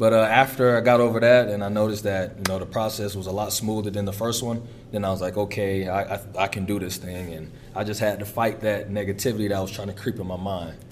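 Delivered very fast in a monotone, flat intonation, the speech has audible room echo. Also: man, fairly low pitch for a man. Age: 20s. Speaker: college football player. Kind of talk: interview. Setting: practice facility.

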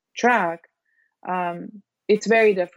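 A woman with a Serbian accent speaks at a medium pitch in a dry, close sound with no echo. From Serbia (Belgrade). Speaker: biology professor. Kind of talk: interview. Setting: video call.

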